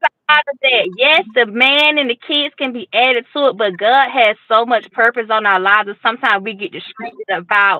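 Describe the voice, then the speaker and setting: A woman's fairly high, animated voice with a Georgia accent, fairly quick and with hardly any pauses. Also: ordinary pitch variation. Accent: Southern US (Georgia), country. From US South, Fort Valley, Georgia. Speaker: guest, single mother. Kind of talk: casual chat. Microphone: lag on connection.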